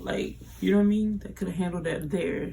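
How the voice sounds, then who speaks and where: A woman talks quietly at a fairly quick pace, with audible room echo around her voice. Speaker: YouTuber commenting on celebrity drama. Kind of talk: casual commentary vlog. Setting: at home late at night. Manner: quiet, low voice.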